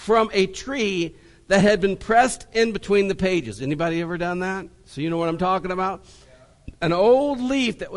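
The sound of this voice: An unforced reading voice carries ordinary variation in pitch.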